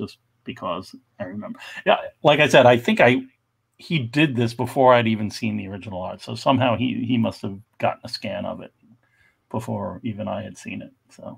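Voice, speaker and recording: Against a quiet background, a man's voice shows big swings in loudness. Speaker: panelist. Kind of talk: casual discussion commentary. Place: home room. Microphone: video call.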